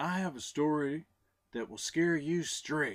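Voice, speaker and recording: A man puts on a character voice, fairly high in pitch and fairly slow in pace. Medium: read story.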